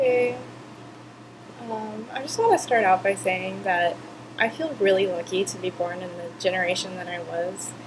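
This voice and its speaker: Noticeable background noise surrounds a woman speaking at a moderate pace. Her medium pitch shows ordinary variation. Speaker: video blogger. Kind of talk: casual vlog. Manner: hesitant, many fillers.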